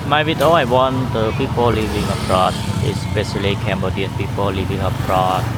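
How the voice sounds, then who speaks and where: With noticeable background noise and audible room echo, a man of fairly low pitch speaks at a moderate pace with ordinary pitch variation. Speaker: travel vlogger. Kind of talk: walking vlog commentary. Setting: outdoors on street, light rain. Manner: halting, many fillers.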